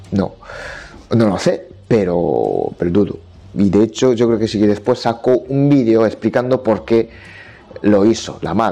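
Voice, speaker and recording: Speaking at a fairly slow pace, a man has a medium pitch and ordinary pitch variation. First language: Japanese (speaking Spanish). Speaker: Japanese language teacher. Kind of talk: solo podcast monologue. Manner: halting.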